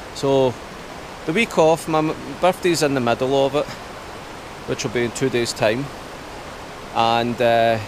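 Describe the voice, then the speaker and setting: Pausing long and often, a man speaks at a fairly slow pace over noticeable background noise, in a dry sound with no echo. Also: ordinary pitch variation. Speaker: camper vlogger. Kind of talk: casual vlog chat. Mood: slightly anxious, reflective. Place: waterside. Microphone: phone near.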